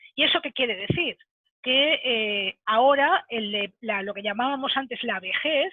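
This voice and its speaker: A woman at a fairly slow pace with lively intonation. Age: 60s. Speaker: webinar speaker on senior careers. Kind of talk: webinar talk. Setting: online webinar. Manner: halting, many fillers.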